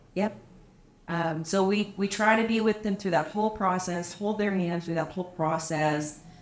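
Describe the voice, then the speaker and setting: At a moderate pace, a woman speaks in a normal speaking voice, medium in pitch with fairly even intonation. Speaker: property manager and anti-trafficking advocate. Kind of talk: casual chat. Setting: hotel cigar lounge.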